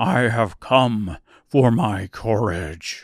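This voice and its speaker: This man uses a raspy, put-on character voice. His pitch is medium, and the recording is very clean with a silent background. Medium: audio drama.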